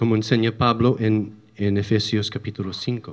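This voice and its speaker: A man speaks with an English accent. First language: English (speaking Spanish). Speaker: church teacher. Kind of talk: religious lecture. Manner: halting.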